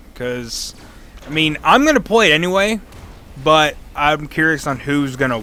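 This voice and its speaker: A man speaks quietly and fairly slowly, with lively intonation. Noticeable noise runs in the background. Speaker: gaming youtuber. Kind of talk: gameplay commentary. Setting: at home at night. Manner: quiet, toned down; off the cuff, halting.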